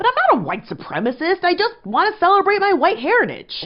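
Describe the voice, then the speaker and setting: Using a put-on character voice, a woman talks very fast at an extremely high pitch. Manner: sarcastic, mocking.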